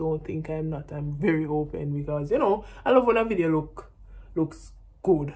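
A woman speaks with a very deep, low pitch and ordinary pitch variation. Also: moderate pace. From Jamaica. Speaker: vlogger and professional netball player; vlogger. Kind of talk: casual vlog talk to camera. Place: home room. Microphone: phone near.

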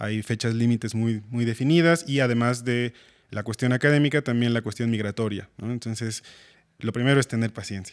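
At a fairly quick pace, a man speaks with fairly even intonation over a quiet background. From Mexico, Pachuca; Mexico. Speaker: composer and music teacher; music teacher. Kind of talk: interview. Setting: school. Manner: halting. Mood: calm, friendly. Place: studio. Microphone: studio mic.

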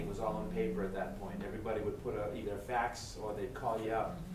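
Over noticeable background noise and audible room echo, a man speaks at a very fast pace. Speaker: public works manager. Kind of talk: staff presentation. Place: hall. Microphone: camera far.

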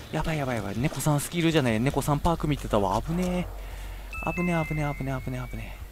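A man speaks very fast while music plays in the background. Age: middle-aged. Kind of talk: game commentary. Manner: excitable, frantic.

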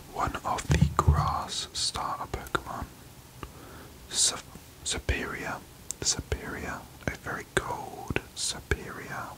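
Whispering and soft-spoken, a man talks at a very slow pace with long, frequent pauses over noticeable background noise. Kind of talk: casual vlog chat. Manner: soft close whisper naming cards. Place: home room.

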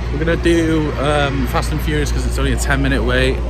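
A man speaks at a very fast pace. Loud background noise runs behind him. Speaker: travel vlogger. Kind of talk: casual vlog chat. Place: street. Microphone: phone near.

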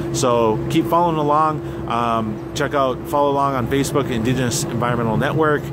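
Through loud background noise, a man talks at a fairly quick pace with ordinary pitch variation. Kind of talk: casual vlog chat. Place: boat. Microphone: phone near.

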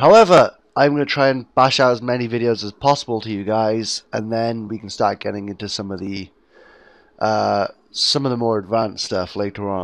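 With a British accent, a man speaks at a moderate pace with ordinary pitch variation and big swings in loudness. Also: medium pitch for a man. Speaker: gaming YouTuber. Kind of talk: tutorial. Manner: casual, hesitant with fillers.

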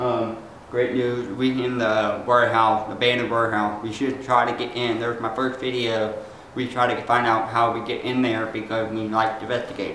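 Over light background noise and with audible room echo, a man speaks in a monotone, flat intonation. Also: moderate pace. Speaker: paranormal investigation vlogger. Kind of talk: casual vlog chat. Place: factory. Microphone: camera far.

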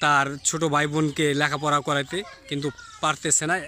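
A man talks at a fairly high pitch. Noticeable background noise runs under his voice. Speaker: YouTube reporter. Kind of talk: street interview.

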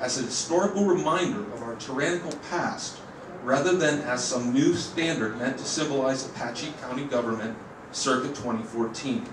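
With audible room echo and noticeable background noise, a man talks at a moderate pace with ordinary pitch variation. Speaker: member of the public giving comment. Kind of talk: formal public comment read from script. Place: hall. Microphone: podium.

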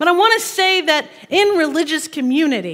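Moderate-paced speech from a woman, with quiet surroundings. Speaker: minister. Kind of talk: sermon. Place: church. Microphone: headset.

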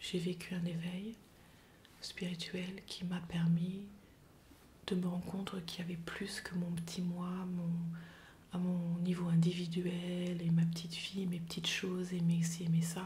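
Over light background noise, a woman with a fairly low pitch speaks at a fairly slow pace, her intonation monotone and flat, with long, frequent pauses. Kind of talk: personal testimony to camera. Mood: reflective, calm, somewhat somber.

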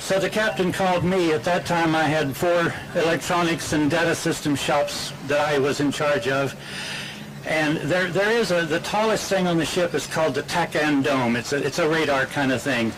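Over noticeable background noise, a man talks at a moderate pace with very even loudness and ordinary pitch variation. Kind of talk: anecdote told to an audience. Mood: warm, humorous. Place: beach. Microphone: podium.

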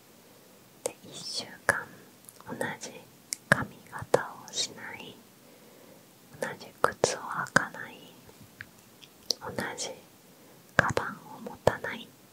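Whispering very slowly, a woman leaves long, frequent pauses in a gentle tone. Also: dry sound with no echo. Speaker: ASMR creator. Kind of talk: casual Q&A chat. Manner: gentle whispered chatter. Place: home room. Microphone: handheld.

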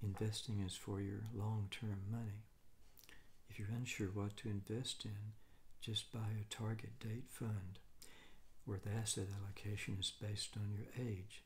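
A somewhat breathy voice in an American accent, with monotone, flat intonation and very even loudness. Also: man, fairly low pitch for a man, fairly slow pace. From United States. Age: 60s. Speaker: retired financial analyst. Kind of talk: casual advice monologue. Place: home room.

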